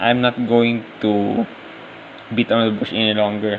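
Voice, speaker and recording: A moderate pace over noticeable background noise. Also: man. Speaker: gaming vlogger. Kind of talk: casual vlog narration over gameplay. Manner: halting.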